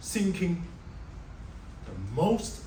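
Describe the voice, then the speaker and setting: A man with a strong Chinese accent at a very slow pace, with noticeable background noise and audible room echo. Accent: heavy Chinese. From China. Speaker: software developer. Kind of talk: speech.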